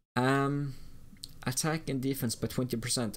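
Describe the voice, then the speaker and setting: A man speaks with a non-native accent. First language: not English. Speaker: gaming streamer. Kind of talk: live stream game commentary. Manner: halting.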